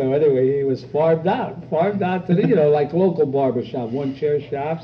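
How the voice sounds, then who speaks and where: A man with an American accent talks at a fairly high pitch and a fairly quick pace. His pitch varies in an ordinary way, over noticeable background noise. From Pennsylvania. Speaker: barber. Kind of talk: casual interview chat. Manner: animated.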